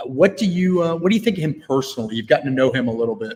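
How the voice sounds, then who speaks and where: A loud man talks at a very fast pace, his pitch swinging very widely. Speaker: sports reporter. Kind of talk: live interview. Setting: live video stream.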